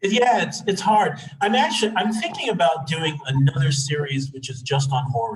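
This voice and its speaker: He hardly pauses at all, speaking with lively intonation. The man's pitch is fairly high. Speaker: astrology teacher. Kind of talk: lecture. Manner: fast.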